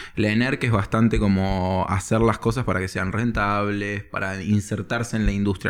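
Over a silent background in a very clean recording, a man speaks in a fairly low pitch at a moderate pace with monotone, flat intonation. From Spain. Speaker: comedy screenwriter. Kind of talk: casual chat.

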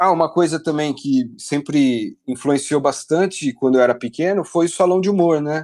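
Against a quiet background, a man speaks with a normal speaking voice and ordinary pitch variation. His pace is moderate, with hardly any pauses. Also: fairly high pitch for a man. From Brazil, Piracicaba (São Paulo state). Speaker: illustrator, game artist. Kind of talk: casual interview. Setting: remote call from home.

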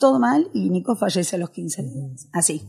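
The speaker is a woman. She keeps a moderate pace. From Argentina, raised from age 7 (born in Galicia, Spain). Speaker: tango fusion singer. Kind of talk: interview chat. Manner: animated.

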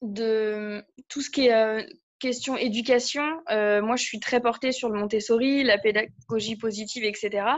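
A woman speaks at a very slow pace. Her fairly high voice shows ordinary pitch variation. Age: 30s. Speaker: coaching client. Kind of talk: coaching session. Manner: halting.

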